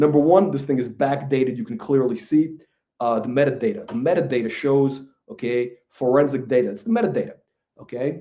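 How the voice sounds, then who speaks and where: Lively in intonation, a man speaks at a fairly quick pace in a dark, mellow tone. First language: not English. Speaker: channel host, stock fraud critic. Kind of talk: angry monologue video rant. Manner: halting, repetitive; heated, insulting.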